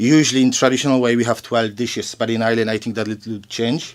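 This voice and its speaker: A man in a Polish accent, fairly quick and with fairly even intonation. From Poland. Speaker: shop owner. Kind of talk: casual interview.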